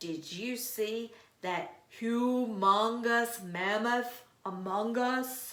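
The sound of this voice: Booming and very slow, a woman performs a put-on character voice at a fairly high pitch. Audible echo surrounds the recording.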